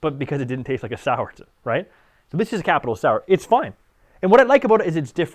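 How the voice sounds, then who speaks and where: Mumbling at a very fast pace, a man sweeps through very wide pitch swings. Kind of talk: casual interview chat. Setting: studio. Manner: fast talker, mumbles.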